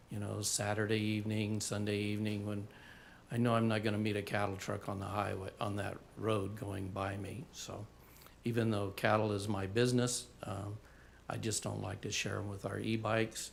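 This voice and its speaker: A man speaks at a moderate pace in a fairly low pitch. His intonation is monotone and flat, and the room echo is audible. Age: 60s. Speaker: resident giving public comment. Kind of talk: public comment at meeting.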